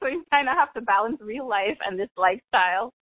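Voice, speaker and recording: Speaking in a Bahamian accent, a woman keeps a moderate pace. Her pitch swings very widely. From Bahamas (Nassau, Grand Bahama). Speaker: carnival enthusiast, former student athlete. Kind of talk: interview. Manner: casual, chatty.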